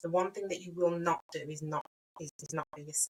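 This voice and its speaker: Dry and close with no echo, a woman with a Birmingham accent speaks fairly quickly at a fairly low pitch. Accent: Birmingham (Brummie). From Birmingham, England. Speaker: brand and web designer, business owner. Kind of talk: podcast interview. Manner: animated.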